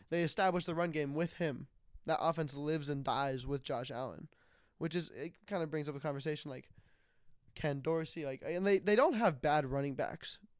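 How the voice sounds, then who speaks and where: On a very clean recording with a silent background, a man with a fairly high pitch speaks at a fairly quick pace with ordinary pitch variation. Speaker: sports podcast host. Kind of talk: casual chat. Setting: audio-only podcast recording. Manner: loud.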